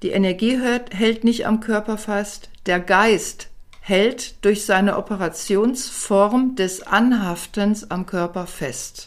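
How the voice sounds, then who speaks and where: A woman's medium-pitched speech unfolds at a very slow pace, her intonation fairly even. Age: 60s. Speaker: author and palliative care nurse. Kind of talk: interview.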